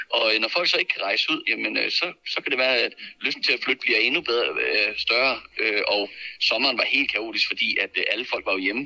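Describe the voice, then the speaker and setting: A man talks at a fairly quick pace, his loudness very even throughout. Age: 30s. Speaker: real estate agent. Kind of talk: casual chat. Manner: halting.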